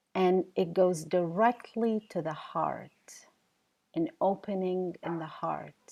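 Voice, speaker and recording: A woman's very slow speech with an Arabic accent, in a dark, mellow tone with fairly even intonation. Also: medium pitch for a woman. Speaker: professor and keynote speaker. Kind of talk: keynote lecture.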